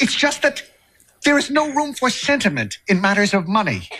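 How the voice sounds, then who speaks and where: A man speaks in a raised, projected voice. Light background noise is present. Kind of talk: comedic acted dialogue. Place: studio.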